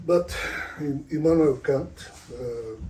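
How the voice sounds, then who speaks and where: A man speaks at a very slow pace with a non-native accent, his somewhat breathy voice dark and mellow in tone against audible room echo. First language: not English. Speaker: author and spiritual speaker. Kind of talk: lecture. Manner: halting.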